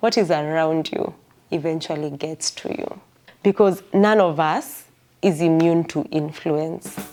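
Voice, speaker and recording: Over music in the background, a woman with a fairly low pitch talks at a fairly slow pace with fairly even intonation. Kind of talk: devotional bible teaching. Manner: casual, conversational.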